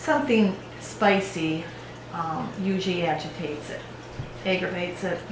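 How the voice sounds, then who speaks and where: A woman at a moderate pace, with ordinary pitch variation and long, frequent pauses, amid audible room echo and noticeable background noise. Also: medium pitch for a woman. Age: 60s. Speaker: patient. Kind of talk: patient interview answers.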